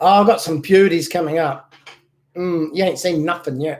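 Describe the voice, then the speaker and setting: A man speaks with a southern English accent. His pitch is high. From southern England, Basingstoke, Hampshire. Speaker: model car restorer and channel owner. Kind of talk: casual chat. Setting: live stream at home.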